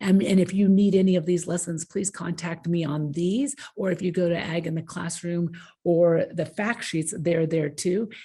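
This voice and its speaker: At a moderate pace, a woman speaks with fairly even intonation, her fairly low voice dark, mellow and somewhat breathy. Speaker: agricultural education presenter. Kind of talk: conference presentation.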